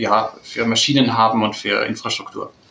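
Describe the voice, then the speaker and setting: A man keeps a moderate pace as noticeable background noise carries on. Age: 20s. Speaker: product development head of family business. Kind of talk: interview.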